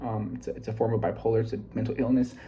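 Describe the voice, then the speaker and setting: Amid audible room echo, a man with a fairly low pitch talks very fast. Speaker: self-improvement vlogger. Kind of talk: casual vlog book summary. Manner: fast, sometimes scattered; halting, many fillers.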